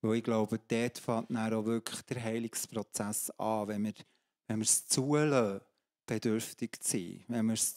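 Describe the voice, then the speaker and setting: A man talks at a fairly slow pace in a monotone with flat intonation. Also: quiet background. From Switzerland, Emmental (Bern); Switzerland. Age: 50s. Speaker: pastor and coach; pastor, coach. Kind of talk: testimony in a church talk service. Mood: earnest, personal testimony. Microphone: handheld.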